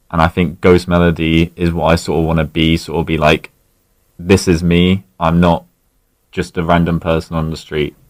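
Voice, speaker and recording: A man's very deep, low voice in a southern English accent, monotone and flat, at a moderate pace. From Berkshire, southern England. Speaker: masked alternative musician. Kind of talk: radio interview. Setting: radio studio.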